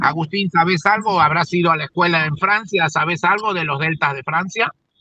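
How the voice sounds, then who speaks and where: This man has a high pitch and a bright, sharp tone. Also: fairly even intonation, fairly quick pace. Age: 60s. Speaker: radio host and agronomist. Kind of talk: interview conversation.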